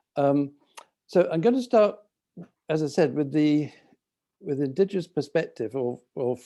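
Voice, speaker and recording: Speaking with a London accent, a man uses a fairly high pitch and a dark, mellow tone at a moderate pace. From London, England. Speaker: architect, community project manager. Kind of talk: presentation on video call. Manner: hesitant, many fillers.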